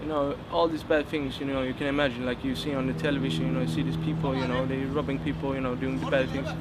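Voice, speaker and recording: A medium-pitched man races along at a very fast pace with hardly any pauses and very wide pitch swings, amid noticeable background noise and audible room echo. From Sweden, Gothenburg. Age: 20s. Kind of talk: testimony. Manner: halting, many fillers.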